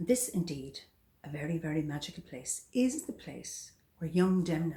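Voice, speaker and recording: A woman speaks at a moderate pace with a fairly low pitch. Her voice is somewhat breathy, with a dark, mellow tone. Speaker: storyteller. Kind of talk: folk tale storytelling.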